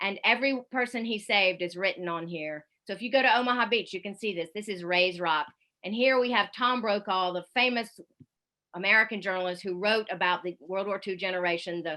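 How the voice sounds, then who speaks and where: At a fairly quick pace, a woman speaks in a Southern US accent. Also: medium pitch for a woman, ordinary pitch variation. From US South, Columbia, South Carolina. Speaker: foreign correspondent, radio journalist. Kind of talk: public talk with slideshow. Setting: online event.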